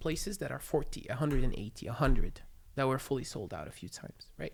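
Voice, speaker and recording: An Arabic accent at a fairly quick pace, with lively intonation. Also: woman. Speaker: stand-up comedian. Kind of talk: casual chat. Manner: stammers.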